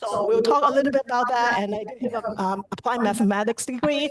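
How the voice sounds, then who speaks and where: A woman's fairly high pitch and lively intonation at a very fast pace, over noticeable background noise. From Hong Kong. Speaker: cybersecurity engineer presenter. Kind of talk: presentation. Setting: chapter meeting on camera. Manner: hesitant with filler words.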